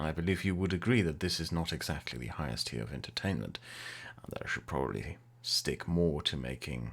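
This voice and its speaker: This man has a very deep, low pitch with vocal fry and an English accent. His intonation is lively and his pace fairly quick. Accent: English-sounding. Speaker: YouTuber and streamer. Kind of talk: live Q&A stream, casual. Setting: live stream with chat. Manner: casual, hesitant with fillers.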